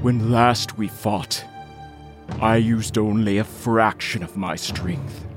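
Over clear background music, a man performs in a put-on character voice.

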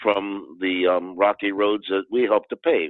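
A man with a General American accent and ordinary pitch variation. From Washington, D.C. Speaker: actor and Vietnam veteran. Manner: halting, reflective.

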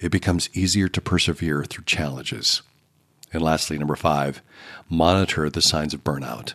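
A man's very deep, low voice with vocal fry, ordinary pitch variation and a moderate pace, on a very clean recording with a silent background. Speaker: podcast host. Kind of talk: scripted narration of a devotional podcast episode. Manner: earnest, instructive.

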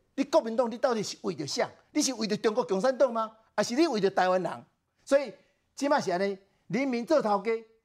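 The delivery is very fast and animated. Long pauses come often. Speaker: political commentator. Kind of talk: talk show debate.

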